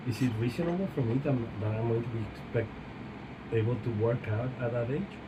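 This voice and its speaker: A man's medium-pitched voice at a fairly quick pace, ordinary pitch variation, audible room echo and noticeable background noise. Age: 40s. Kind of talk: casual chat.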